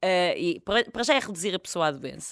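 In a very clean recording with a silent background and a dry, close sound with no echo, a woman speaks at a medium pitch in an animated tone. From Portugal, village near Fátima. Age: 30s. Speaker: comedian and cancer survivor. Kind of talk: casual chat.

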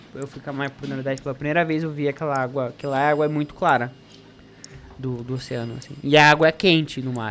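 Music plays in the background as a man talks at a fairly quick pace with fairly even intonation. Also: fairly high pitch for a man. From Paraná, Brazil. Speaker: activist campaign organizer. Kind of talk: casual interview chat.

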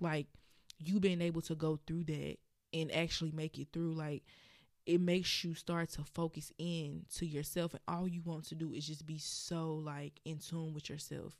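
A woman talks at a moderate pace. Her pitch is very deep and low, and her intonation is monotone and flat. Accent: Southern US. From Birmingham, Alabama. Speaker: podcast host and blogger. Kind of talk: casual solo podcast, conversational. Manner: casual, hesitant with fillers.

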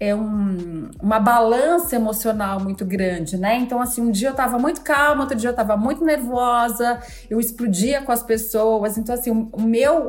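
At a moderate pace with hardly any pauses, a woman uses a normal speaking voice at a fairly high pitch with ordinary pitch variation. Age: 40s. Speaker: mindfulness coach. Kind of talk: casual chat.

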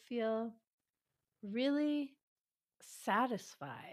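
On a very clean recording with a silent background, a woman with a high pitch and ordinary pitch variation speaks with long, frequent pauses. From New York City suburbs. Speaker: relationship expert and former physician. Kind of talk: interview.

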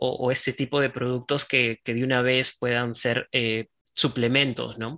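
With a bright, sharp tone, a man speaks at a fairly slow pace. His intonation is monotone and flat, and the sound is dry and close with no echo. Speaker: podcast host. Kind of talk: interview; scripted narration. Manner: hesitant in conversation, repeats words.

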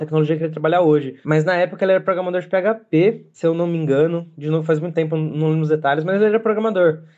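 A man speaks at a very fast pace in a high voice with a dark, mellow tone. His intonation stays fairly even. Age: 20s. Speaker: game developer. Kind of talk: recorded personal story.

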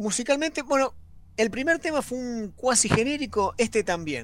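A man talks at a fairly slow pace. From Argentina, La Plata area. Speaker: radio show co-host. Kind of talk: radio show chat, series review segment.

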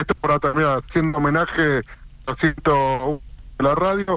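A man's pitch varies in an ordinary way as he talks at a very slow pace. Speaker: football radio host. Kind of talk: interview. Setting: phone call. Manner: talkative.

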